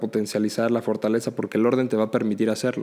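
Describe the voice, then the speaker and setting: A man talks at a very fast pace in a monotone, flat intonation. His pitch sits in the medium range. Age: 20s. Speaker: law student and emergency medical technician. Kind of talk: casual chat.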